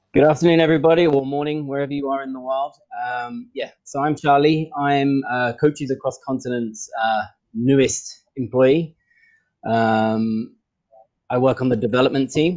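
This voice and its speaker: A man with an English accent, fairly high in pitch, at a moderate pace with fairly even intonation. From England. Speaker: football coach. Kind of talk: online training session introduction. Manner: hesitant, many fillers.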